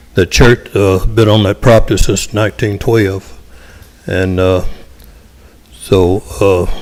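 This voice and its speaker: Over noticeable background noise, the speech comes at a fairly slow pace with monotone, flat intonation. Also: man. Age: 70s. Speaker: local resident speaking at public hearing. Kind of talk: public comment at council meeting. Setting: city council meeting.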